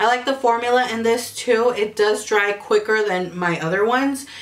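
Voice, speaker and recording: With noticeable background noise, a woman speaks at a moderate pace in a fairly high pitch. Her tone is animated, with ordinary pitch variation. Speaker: beauty youtuber. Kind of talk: product review vlog.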